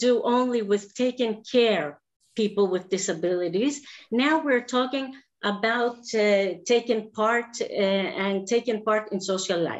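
A woman with a Greek accent, fairly high-pitched, at a very slow pace, against a quiet background. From Greece. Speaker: special education teacher. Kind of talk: presentation. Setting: video call. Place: home room. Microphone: webcam.

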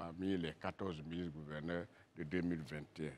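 A man speaks with an Ivorian accent. His pitch is very deep and low. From Côte d'Ivoire, western mountains region (Man); Côte d'Ivoire. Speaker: politician, regional governor; politician. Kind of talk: TV interview. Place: studio. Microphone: lapel.

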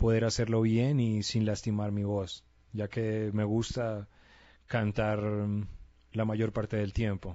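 A man with a Colombian accent at a very slow pace, with a dry sound, no echo and a quiet background. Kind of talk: casual talk to camera. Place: home room. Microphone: handheld.

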